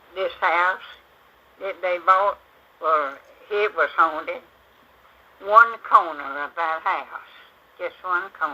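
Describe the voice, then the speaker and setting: Speaking with a Southern US accent at a very slow pace, the voice takes long, frequent pauses, shows ordinary pitch variation and has big swings in loudness. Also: woman, medium pitch for a woman. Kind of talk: oral storytelling of family ghost stories. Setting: home recording.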